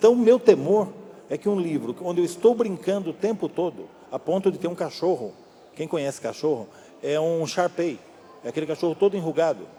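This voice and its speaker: A high-pitched man talks at a fairly quick pace with lively intonation. Noticeable background noise can be heard. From Brazil, São Paulo state (Amparo). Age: 60s. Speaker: novelist and screenwriter. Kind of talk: public talk interview. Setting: library event with audience.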